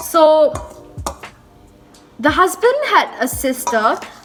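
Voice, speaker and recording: A woman's voice with music in the background. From Malaysia. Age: young. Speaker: vlogger. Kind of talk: casual talk to camera. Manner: chatty.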